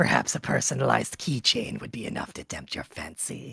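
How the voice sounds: A raspy, put-on character voice moves along at a fairly quick pace.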